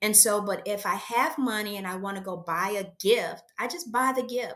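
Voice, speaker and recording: With an American accent and a plain, everyday voice, the speaker talks at a moderate pace. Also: woman. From USA. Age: 60s. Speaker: aspiring entrepreneur. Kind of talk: coaching conversation.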